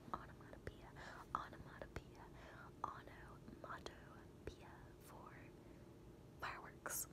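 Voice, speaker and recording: A soft-spoken woman talks. Loud background noise surrounds her voice. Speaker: ASMR creator. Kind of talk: ASMR trigger talk. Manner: slow, soft trigger words close up. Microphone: phone near.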